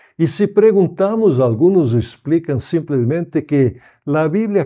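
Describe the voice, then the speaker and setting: A man with a dark, mellow tone talks at a fairly slow pace. His pitch swings very widely over a quiet background. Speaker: pastor and Bible society director. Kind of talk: prepared message.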